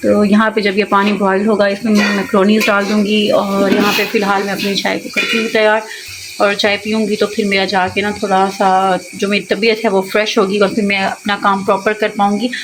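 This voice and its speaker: With hardly any pauses, a woman of medium pitch talks at a moderate pace in a monotone, flat intonation over noticeable background noise. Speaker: vlogger. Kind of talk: casual vlog narration.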